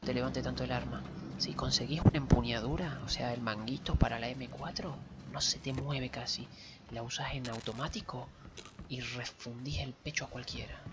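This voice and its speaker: A man whispers quietly at a moderate pace, with big swings in loudness. Noticeable background noise can be heard. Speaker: gamer streaming with partner. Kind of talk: casual gameplay commentary. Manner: whispered, quiet. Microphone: headset.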